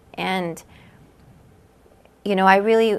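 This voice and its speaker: The speaker has a West Coast accent and fairly even intonation. The recording is very clean, with a silent background. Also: woman. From Southern California. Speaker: cancer patient. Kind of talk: testimony.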